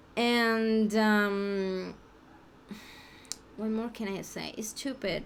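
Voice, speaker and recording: The speaker has a Mexican accent. Room echo is audible. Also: woman. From Mexico. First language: Spanish. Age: 30s. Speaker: language learner vlogger. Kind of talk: unscripted practice monologue. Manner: halting, many restarts and fillers.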